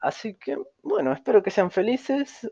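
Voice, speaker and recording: Speaking at a moderate pace with a Rioplatense accent, a man comes through in a dry, close sound with no echo. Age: young. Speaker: podcaster. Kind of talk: casual monologue.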